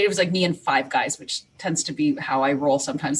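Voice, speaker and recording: Her pitch swings very widely as a woman speaks. Background noise is noticeable. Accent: slight Canadian. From Canada. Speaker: teacher librarian. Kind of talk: podcast interview. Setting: remote recording from home.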